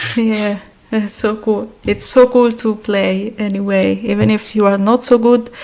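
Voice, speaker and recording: Noticeable background noise sits behind a woman speaking with an Italian accent. Her fairly high pitch stays monotone and flat at a fairly slow pace. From Italy. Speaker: podcast host. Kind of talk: podcast interview.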